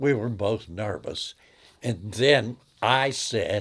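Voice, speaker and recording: Lively intonation marks this somewhat breathy voice. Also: man. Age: 80s+. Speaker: grandfather telling love story. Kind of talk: interview storytelling. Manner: conversational, with hesitations.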